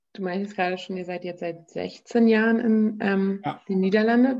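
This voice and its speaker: A woman speaks at a fairly quick pace in a medium pitch, her tone dark and mellow, with ordinary pitch variation against a quiet background. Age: 20s. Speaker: podcast host. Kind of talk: casual interview.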